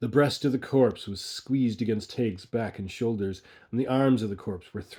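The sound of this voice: An unforced reading voice moves through ordinary changes in pitch.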